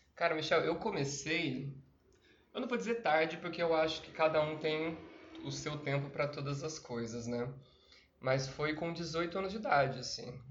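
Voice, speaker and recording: A man talks at a moderate pace in a fairly high pitch with ordinary pitch variation. The recording has audible room echo and noticeable background noise. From Brazil, Campinas (São Paulo state). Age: 30s. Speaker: actor and PE teacher. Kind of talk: casual interview chat.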